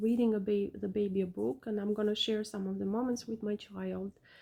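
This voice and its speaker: In an Albanian accent, the voice has a dark, mellow tone and moves at a fairly quick pace. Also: woman. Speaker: parent vlogger. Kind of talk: casual vlog talk. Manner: halting, many fillers.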